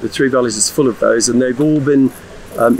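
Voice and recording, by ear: A man's medium-pitched, slightly mellow voice with fairly even intonation over faint background noise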